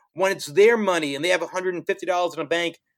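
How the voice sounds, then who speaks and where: With a New York accent, a high-pitched man speaks at a very fast pace with ordinary pitch variation. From New York City (Brooklyn and Queens). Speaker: finance professional and social entrepreneur. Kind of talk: casual interview.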